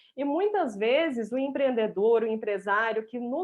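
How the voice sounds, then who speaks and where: Someone speaks with a mineiro accent at a moderate pace, with lively intonation. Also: woman. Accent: mineiro accent, kept. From Minas Gerais, Brazil (Viçosa). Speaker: business strategist. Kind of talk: live stream interview. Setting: online live stream.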